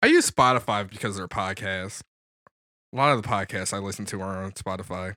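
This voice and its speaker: A man with an American accent speaks at a very fast pace in a fairly low, bright and sharp voice, his intonation fairly even but his loudness swinging widely, in a dry, close recording that is very clean with a silent background and no echo. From Mount Morris, Michigan (Flint area). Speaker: podcast guest. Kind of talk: casual chat.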